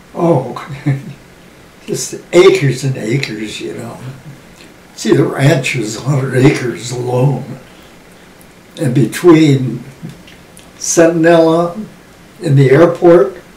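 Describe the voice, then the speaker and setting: Speaking very slowly in an American accent, the voice leaves long, frequent pauses, with ordinary pitch variation and big swings in loudness. Noticeable background noise and audible room echo fill the recording. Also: man, fairly high pitch for a man. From US West, Los Angeles area. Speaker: WWII generation elder interviewee. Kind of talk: oral history interview.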